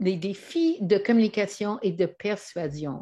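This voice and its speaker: In a Canadian English accent, a woman speaks at a very slow pace in a dark, mellow tone with ordinary pitch variation, over a quiet background. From Canada. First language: English (speaking French). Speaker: trainer and author. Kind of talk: presentation. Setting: online video. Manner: hesitant.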